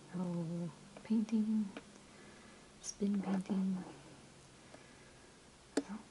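Whispering at a fairly slow pace. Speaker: ASMR creator. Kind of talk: ASMR show and tell, whispered camera sounds. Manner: whispered, soft-spoken. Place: home room. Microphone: phone near.

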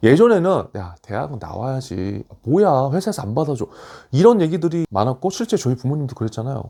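On a very clean recording with a silent background, a man with a fairly high pitch and a dark, mellow tone talks at a fairly quick pace with very wide pitch swings. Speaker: career coach YouTuber. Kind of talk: casual commentary on news article. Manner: conversational, with fillers.

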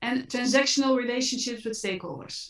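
Against a quiet background with audible room echo, a woman speaks at a high pitch. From Netherlands. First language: Dutch. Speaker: apparel brand and impact consultant; speaker. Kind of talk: panel discussion. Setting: online video panel. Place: home room. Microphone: video call.

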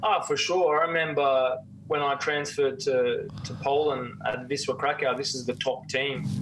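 A man with an Australian accent amid noticeable background noise. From Australia, Cairns (far north Queensland); Queensland, Australia. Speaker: former professional footballer; guest. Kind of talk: casual chat. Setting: remote call. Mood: reflective, candid. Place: home room. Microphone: video call.

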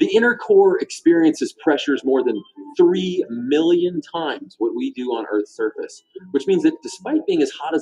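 Faint music plays in the background. A man talks over it at a moderate pace. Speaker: science show host. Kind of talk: educational explainer. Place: studio.

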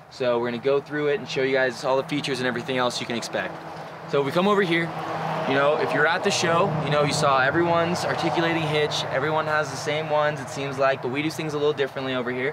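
A man talks at a very fast pace over loud background noise. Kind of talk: product walkthrough. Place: forest. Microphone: camera far.

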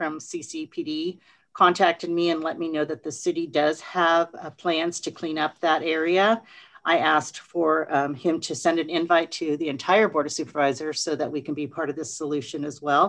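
Over a quiet background, a woman with a very deep, low voice speaks at a moderate pace with fairly even intonation. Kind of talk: meeting report. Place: office. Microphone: video call.

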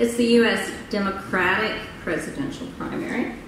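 A woman's voice comes through with light background noise and audible room echo. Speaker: conference speaker. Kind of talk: public presentation. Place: hall. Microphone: podium.

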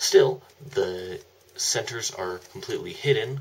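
Light background noise sits under speech at a fairly slow pace. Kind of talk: product demo explanation.

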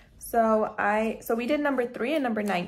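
Ordinary pitch variation marks a woman's moderately paced speech. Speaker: dental student vlogger. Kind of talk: casual vlog chat. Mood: relaxed, slightly flustered. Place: home room. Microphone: phone near.

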